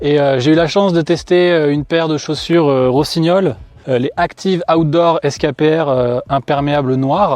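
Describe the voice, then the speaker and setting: A man's fairly high voice at a moderate pace, with very even loudness and ordinary pitch variation. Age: 30s. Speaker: customer product tester. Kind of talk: product review testimonial. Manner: casual, many hesitations.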